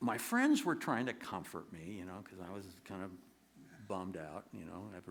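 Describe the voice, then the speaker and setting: Room echo is audible as a man speaks. He keeps a moderate pace with lively intonation. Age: 70s. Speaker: singer-songwriter performer. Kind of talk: storytelling monologue on stage. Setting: theater stage with audience. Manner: halting, many repetitions and fillers.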